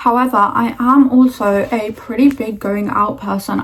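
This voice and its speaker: A somewhat breathy voice at a fairly slow pace. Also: woman. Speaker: lifestyle vlogger. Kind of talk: casual chat. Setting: at home doing makeup. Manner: monotone.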